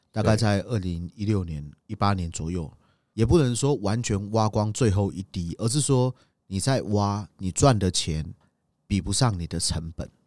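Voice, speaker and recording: On a very clean recording with a silent background, a man with fairly low pitch and ordinary pitch variation talks at a moderate pace in an unremarkable speaking voice. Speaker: tour leader and podcast co-host. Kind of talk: casual travel chat.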